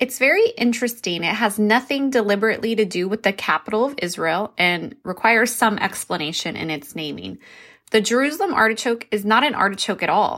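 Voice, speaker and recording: In a very clean recording with a silent background, a woman speaks with lively intonation, a fairly high pitch and a bright, sharp tone. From New Mexico. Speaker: podcast host, homesteader. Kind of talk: tutorial; scripted narration.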